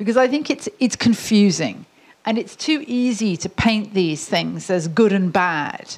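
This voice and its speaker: Somewhat breathy woman's voice, lively intonation, fairly slow pace. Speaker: internet governance executive, panelist. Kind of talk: panel discussion.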